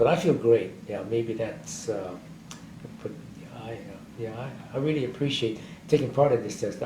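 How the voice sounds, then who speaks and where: A man talks at a moderate pace with ordinary pitch variation and a dark, mellow tone. His voice is somewhat breathy, and there is audible room echo. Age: 80s+. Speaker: war veteran. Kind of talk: oral history interview. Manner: halting.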